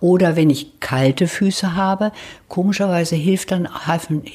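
A woman speaks at a fairly slow pace in a somewhat breathy voice with a fairly low pitch. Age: 70s. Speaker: patient interviewee. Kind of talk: interview. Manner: hesitant with fillers.

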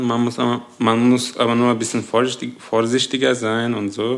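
Moderate pace from a man with a Turkish accent, medium pitch, and monotone, flat intonation. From Turkey, Adana. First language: Turkish (speaking German). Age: 20s. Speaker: engineering student. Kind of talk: interview.

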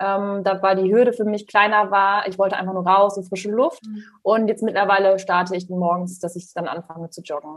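A woman speaks in a normal speaking voice at a medium pitch, with fairly even intonation. Her loudness swings widely, and she hardly pauses at all. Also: fairly quick pace. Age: 20s. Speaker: money mentor. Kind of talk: podcast interview.

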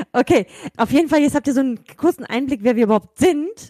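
Dry and close with no echo, a woman's high-pitched voice has a dark, mellow tone and races at a very fast pace. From Germany. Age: 30s. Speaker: podcast co-host, kindergarten educator. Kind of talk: casual chat.

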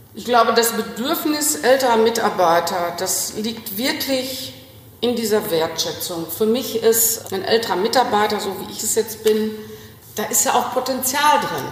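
Fairly high woman's voice at a fairly slow pace, lively in intonation, with big swings in loudness, audible room echo and noticeable background noise. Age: 60s. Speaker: executive assistant. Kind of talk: phone interview.

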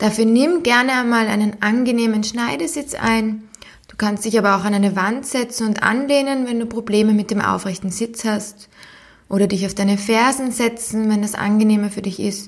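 A plain, everyday voice delivers its lines with fairly even intonation. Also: woman, fairly high pitch for a woman. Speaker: podcast host, psychologist and sport scientist. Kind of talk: guided meditation, calm and soothing, addressing listener as 'du'. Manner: slow, soft-spoken, gentle and unhurried with long pauses; warm, encouraging, playful imagery.

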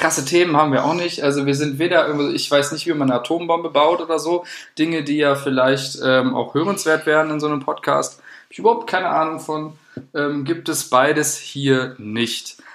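A man speaks at a moderate pace in a fairly high voice with fairly even intonation, over noticeable background noise. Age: 20s. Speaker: podcast co-host, student. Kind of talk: casual chat. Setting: studio.

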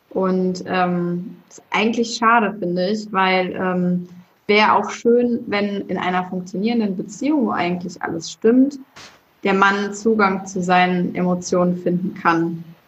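Her voice sits at a medium pitch and sounds somewhat breathy. The woman speaks at a fairly slow pace with fairly even intonation. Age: 30s. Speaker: podcast host. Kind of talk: casual chat.

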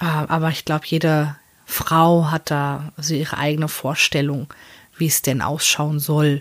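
The woman's voice is very deep and low, and she speaks at a moderate pace. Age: 30s. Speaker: podcaster. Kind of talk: personal monologue. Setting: small room in front of open wardrobe. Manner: hesitant, many fillers.

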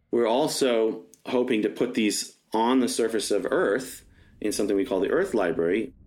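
At a moderate pace, a man talks in a normal speaking voice with ordinary pitch variation. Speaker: lunar librarian, space project founder. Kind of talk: interview, storytelling.

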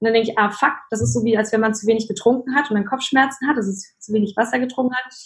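Barely pausing, a woman speaks at a very fast pace in a somewhat breathy, fairly high voice with fairly even intonation. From Germany, child of Polish parents. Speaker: life coach and speaker. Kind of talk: interview. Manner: many filler sounds.

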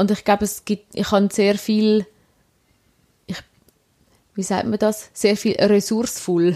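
Fairly slow, flat, monotone delivery in a dark, mellow tone, broken by long, frequent pauses. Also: woman, medium pitch for a woman. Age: 20s. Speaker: podcast co-host. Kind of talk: casual chat.

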